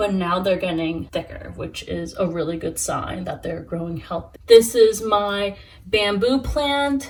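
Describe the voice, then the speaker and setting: Using a normal speaking voice with an American accent, a woman talks at a fairly slow pace and medium pitch, with lively intonation and big swings in loudness. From New York. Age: 20s. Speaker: plant hobbyist YouTuber. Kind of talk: casual talk to camera.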